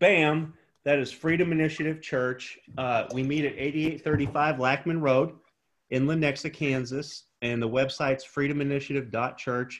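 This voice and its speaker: This man's voice is fairly high-pitched, in a normal speaking voice. He keeps a moderate pace and a fairly even intonation. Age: 40s. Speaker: pastor and prison re-entry program director. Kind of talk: interview.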